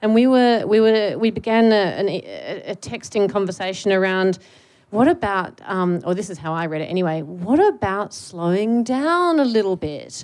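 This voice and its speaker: A woman's normal speaking voice, medium in pitch, with lively intonation and a moderate pace. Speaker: academic. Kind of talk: public panel conversation. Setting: stage with audience.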